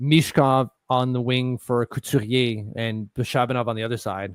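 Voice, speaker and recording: A man with a Quebec accent speaks at a medium pitch, the sound dry and close with no echo, in a very clean recording with a silent background. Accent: French-Canadian accent in English. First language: French. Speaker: sports podcast co-host. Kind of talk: casual live-stream chat.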